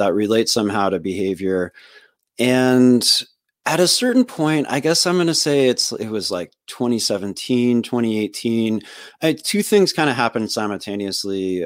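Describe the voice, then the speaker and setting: A man's medium-pitched voice at a moderate pace with lively intonation, in a very clean recording with a silent background. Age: 40s. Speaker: podcast host and political organizer. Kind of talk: casual interview. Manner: halting, many fillers and restarts.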